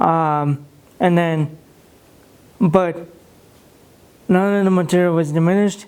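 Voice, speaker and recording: A quiet man with an American accent speaks at a fairly slow pace, leaving long, frequent pauses. His pitch is high, his loudness very even, and his intonation fairly even. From Russia. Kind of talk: interview. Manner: quiet, low volume.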